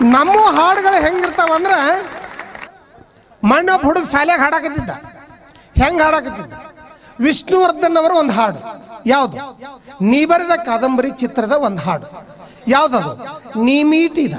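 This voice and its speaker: Over light background noise, a man speaks at an extremely high pitch. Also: lively intonation. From North Karnataka. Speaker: stand-up comedian; school teacher. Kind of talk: stand-up comedy to live audience. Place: stage. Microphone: handheld.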